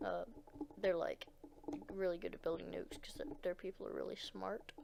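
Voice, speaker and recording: The speaker is soft-spoken and moves at a fairly quick pace. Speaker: gaming video creator. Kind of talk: gameplay commentary. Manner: quiet, speaking softly; hesitant, many fillers.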